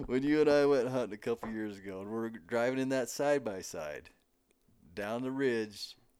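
In an American accent, a man talks at a moderate pace in an ordinary speaking voice, with medium pitch and ordinary pitch variation. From Montana, US. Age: 50s. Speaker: podcast host, rancher. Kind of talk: casual chat. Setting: at a table in a friend's home.

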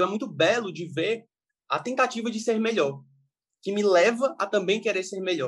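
Moderate pace with ordinary pitch variation. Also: man. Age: 20s. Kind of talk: casual chat.

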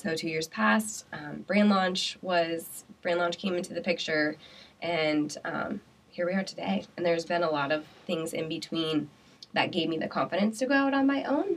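With an American accent, a woman talks in a plain, everyday voice. Her pitch is fairly low and her intonation lively. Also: moderate pace. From Iowa (Pella). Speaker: entrepreneur. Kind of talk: interview.

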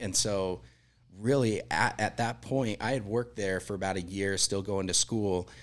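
An unremarkable speaking voice: a man with an American accent, fairly low-pitched, at a moderate pace with fairly even intonation. The recording is very clean, with a silent background. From Utah, US. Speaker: catering company general manager. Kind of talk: casual interview. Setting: studio.

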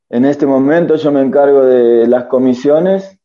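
A man with a normal speaking voice, fairly even intonation and a fairly slow pace. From Argentina, San Luis province. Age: 20s. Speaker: recovered addict living in a religious community. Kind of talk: testimony.

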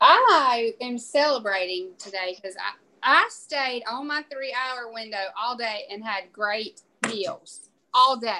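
Speaking in a Southern US accent at a very slow pace, a woman has a high pitch, a bright, sharp tone, ordinary pitch variation, and big swings in loudness. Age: 40s. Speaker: podcast co-host. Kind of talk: casual chat.

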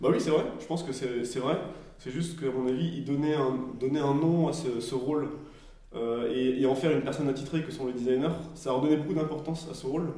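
There is audible room echo as a man with a fairly high pitch and ordinary pitch variation talks at a fairly quick pace. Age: 30s. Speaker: product and design coach. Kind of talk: casual chat. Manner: hesitant.

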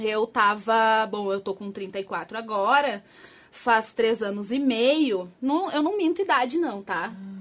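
At a very slow pace, a woman speaks with a fairly high pitch and lively intonation. Her loudness swings widely, over a quiet background. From Rio Grande do Sul, Brazil (Porto Alegre area). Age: 30s. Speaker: escort. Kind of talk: casual interview on a live stream.

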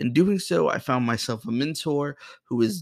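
In an unremarkable speaking voice, a man with an American accent talks at a moderate pace and a fairly high pitch with lively intonation, on a very clean recording with a silent background. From Boston, Massachusetts, US. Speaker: podcast host and filmmaker. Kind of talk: personal monologue.

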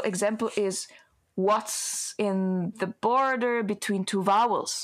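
This woman speaks with an Italian accent. Her intonation is monotone and flat. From Italy. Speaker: singer and voice researcher. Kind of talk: interview conversation.

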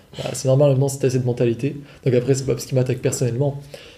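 Fairly high male voice over noticeable background noise. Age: 20s. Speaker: online course seller, copywriter. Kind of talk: casual chat. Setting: in person, on location.

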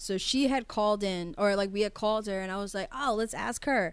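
Very cleanly recorded over a silent background, a woman in an ordinary speaking voice talks fairly quickly at medium pitch with ordinary pitch variation. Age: 20s. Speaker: podcast co-host. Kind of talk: casual chat.

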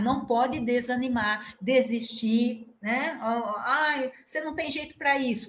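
Speaking very slowly, a woman uses a high pitch with ordinary variation. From Piracicaba, São Paulo state, Brazil. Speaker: university professor. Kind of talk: casual chat.

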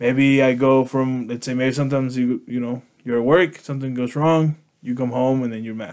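Talking at a moderate pace, a man has an unremarkable speaking voice at a medium pitch. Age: 30s. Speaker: podcast co-host. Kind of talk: casual bilingual chat.

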